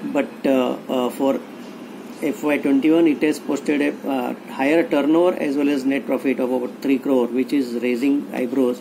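A man at a fairly slow pace with fairly even intonation and noticeable background noise. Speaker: IPO reviewer. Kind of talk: financial commentary. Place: home room. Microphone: webcam.

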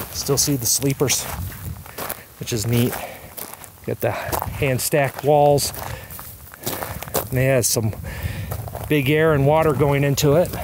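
Long, frequent pauses break up fairly even intonation over noticeable background noise. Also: man, fairly slow pace, dry sound with no echo. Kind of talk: casual vlog commentary. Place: open country. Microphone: phone near.

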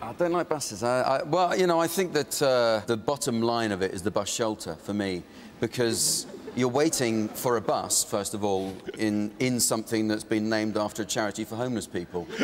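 A man of medium pitch at a fairly quick pace, with noticeable background noise. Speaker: comedian. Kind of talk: TV chat show interview answer.

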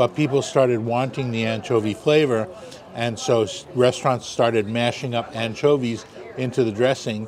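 A man's fairly even intonation over noticeable background noise. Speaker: food vlogger. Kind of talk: casual explanation at a meal. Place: cafe. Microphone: lapel.

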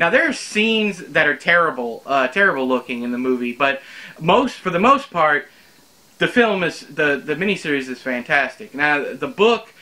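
Speaking at a moderate pace, a man has a bright, sharp tone and lively intonation. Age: 30s. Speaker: book reviewer / YouTuber. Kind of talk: casual spoken book review to camera. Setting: home recording in front of bookshelves. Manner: conversational, with frequent fillers and repetitions. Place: home room.

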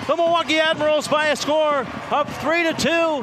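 A man with an extremely high pitch uses a raised, projected voice over noticeable background noise. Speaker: hockey play-by-play announcer. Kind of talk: live sports play-by-play. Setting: radio broadcast.

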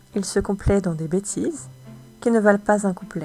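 Against music in the background, a woman talks fairly slowly at a medium pitch. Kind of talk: poetry reading.

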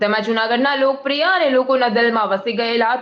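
A woman speaks with a fairly high pitch and ordinary pitch variation. Noticeable background noise runs underneath. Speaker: local news reporter. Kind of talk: news report voiceover. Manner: formal.

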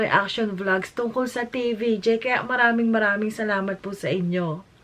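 Over noticeable background noise, a woman talks at a moderate pace in an animated tone. Her pitch is fairly high, with ordinary variation. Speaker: YouTube vlogger. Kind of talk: reaction vlog commentary.

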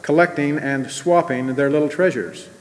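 The man's intonation stays fairly even while he moves at a fairly quick pace. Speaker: speaker. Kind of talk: sermon. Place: hall. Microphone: podium.

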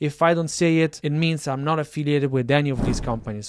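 A man speaks at a very fast pace. The sound is dry with no echo. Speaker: tech creator. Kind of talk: casual vlog chat. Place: home room. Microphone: studio mic.

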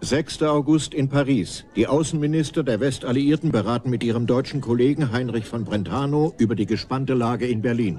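Against noticeable background noise, a man at medium pitch talks at a fairly quick pace with hardly any pauses and ordinary pitch variation. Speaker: documentary narrator. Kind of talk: scripted documentary narration.

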